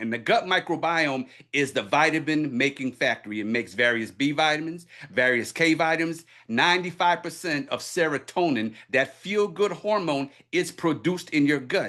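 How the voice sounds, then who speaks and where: A man speaks with an energetic tone and lively intonation. His voice is bright and sharp, fairly high-pitched. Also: quiet background. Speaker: wellness presenter and minister. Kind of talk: product presentation. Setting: video call. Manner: fast.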